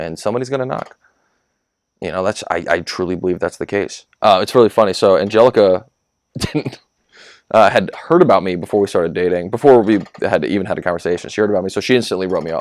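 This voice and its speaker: Animated and very fast, a man with an American accent speaks at a fairly low pitch with ordinary pitch variation. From US South, North Carolina. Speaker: young adult ministry leader. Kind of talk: podcast conversation. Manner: loud.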